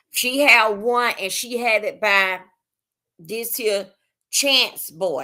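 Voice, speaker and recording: A loud woman's voice in a bright, sharp tone, on a very clean recording with a silent background. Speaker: livestreamer. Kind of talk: casual live stream chat. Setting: live stream. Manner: halting, many fillers.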